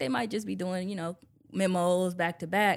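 With an unremarkable speaking voice, a woman talks at a fairly quick pace in a medium pitch, recorded very cleanly over a silent background. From Milwaukee, Wisconsin. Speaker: lawyer and nonprofit director. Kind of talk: interview. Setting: studio.

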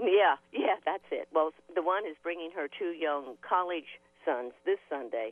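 A woman's plain, everyday voice, fairly low in pitch, at a fairly slow pace. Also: lively intonation. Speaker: caller. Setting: phone call.

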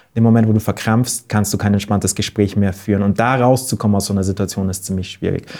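Over a silent background in a very clean recording, a man speaks at a very fast pace. His tone is dark and mellow. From Bavaria, Wörthsee near Munich. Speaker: event organizer and author. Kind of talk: podcast interview storytelling. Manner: animated storytelling.

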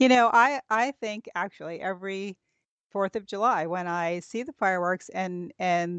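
A woman speaks at a moderate pace with fairly low pitch over a quiet background. She has an ordinary speaking voice. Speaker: podcast host. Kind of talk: interview.

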